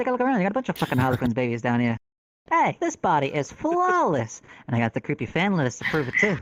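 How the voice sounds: A put-on character voice in a Brooklyn accent comes out nasal at a middle pitch and a very fast pace, on a very clean recording with a silent background.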